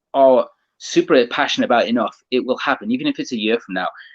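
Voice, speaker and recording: Someone speaks at a very fast pace in a British accent, with a dry, close sound and no echo. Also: man. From England. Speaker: automotive media creator. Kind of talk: casual interview chat.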